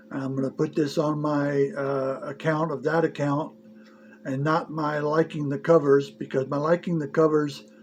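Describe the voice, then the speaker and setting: A man's fairly high voice at a fairly slow pace, with noticeable background noise. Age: 60s. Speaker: movie reviewer. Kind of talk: casual video review monologue. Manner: halting, many fillers.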